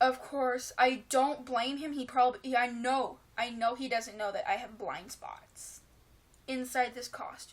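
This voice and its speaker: A woman speaks at a high pitch with ordinary pitch variation. Her pace is fairly slow, and her loudness swings widely. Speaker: furry vlogger. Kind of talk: casual vlog talk. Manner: hesitant, many fillers.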